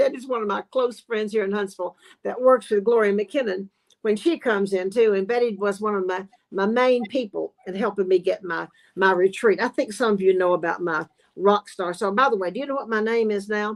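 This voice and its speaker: With a Southern US accent, a woman talks fairly quickly at medium pitch in an animated tone, her pitch varying in an ordinary way and the sound dry and close with no echo. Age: 70s. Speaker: sewing expert and business owner. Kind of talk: casual chat. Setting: live online show.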